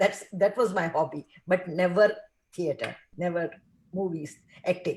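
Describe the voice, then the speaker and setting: The speaker talks at a moderate pace with ordinary pitch variation and a somewhat breathy sound. Long pauses come often. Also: woman, medium pitch for a woman. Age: 70s. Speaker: film actress. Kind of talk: casual chat.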